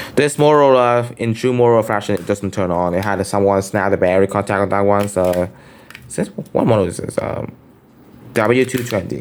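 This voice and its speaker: Speaking at a fairly quick pace, a man talks with a Vietnamese accent. His pitch is fairly low, with ordinary variation. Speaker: phone collector vlogger. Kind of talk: show-and-tell collection video. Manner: casual, hesitant with fillers.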